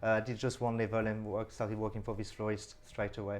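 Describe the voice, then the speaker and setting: Very fast speech from a man with a slight French accent. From France. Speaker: florist, business owner. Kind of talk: radio interview.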